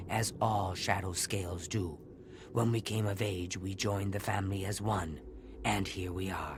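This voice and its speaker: A man's put-on character voice, very deep and low, at a moderate pace against clear background noise. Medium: game stream. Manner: solemn, formal.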